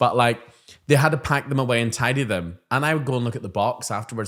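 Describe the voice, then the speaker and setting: A man with an animated tone, very fast pace and ordinary pitch variation. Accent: Northern Irish. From Northern Ireland. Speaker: primary school teacher and podcast co-host. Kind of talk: casual chat.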